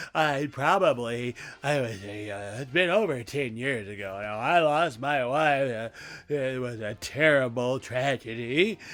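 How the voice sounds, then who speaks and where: Using a put-on character voice, a man speaks at a moderate pace. His medium pitch shows ordinary variation. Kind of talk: comic talk radio monologue. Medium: solo performance. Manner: rambling, stammering, loses his thread.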